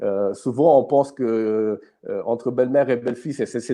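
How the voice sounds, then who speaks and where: A man speaks at a medium pitch. His pitch varies an ordinary amount. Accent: Italian. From Italy. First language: Italian (speaking French). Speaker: youth ministry host. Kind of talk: live stream talk. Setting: live online stream. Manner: halting, many fillers and repetitions.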